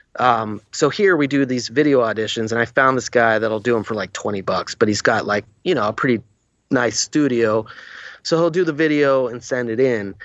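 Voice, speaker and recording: A man's normal speaking voice, in a middle register with usual pitch movement, proceeds at an even tempo: a normal speaking voice. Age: 40s. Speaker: actor. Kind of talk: casual chat.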